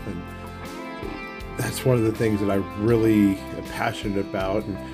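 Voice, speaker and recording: A man with an American accent, fairly low-pitched, at a moderate pace, with music in the background. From Arizona. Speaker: junkyard relic hunter. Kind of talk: casual talk to camera. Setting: outdoors.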